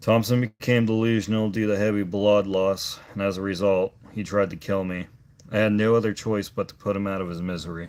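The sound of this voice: An unforced reading voice carries fairly even intonation.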